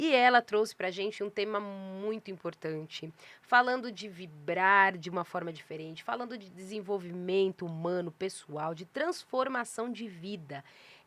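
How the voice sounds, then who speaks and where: A woman at medium pitch with ordinary pitch variation, hardly any pauses and big swings in loudness. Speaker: podcast host and publisher. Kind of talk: casual interview intro. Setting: podcast studio with cameras. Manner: slow, deliberately paused.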